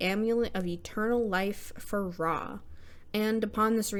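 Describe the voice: Just plain reading aloud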